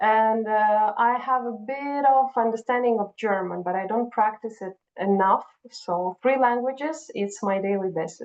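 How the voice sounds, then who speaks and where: A woman with a Russian accent talks at a fairly slow pace. Her pitch is fairly high, with ordinary variation. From Kazakhstan. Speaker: HR and recruiting professional. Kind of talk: interview conversation.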